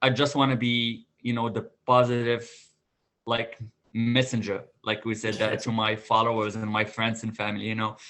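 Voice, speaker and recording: Over music in the background, a man talks at medium pitch and a moderate pace with monotone, flat intonation. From Morocco. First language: not English (English is third language). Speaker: restaurant manager. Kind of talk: interview. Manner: halting, with frequent fillers.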